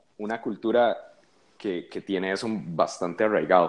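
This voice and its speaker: It is a normal speaking voice, with ordinary pitch variation and a moderate pace against a quiet background. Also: man. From Costa Rica. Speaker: musician. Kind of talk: casual chat.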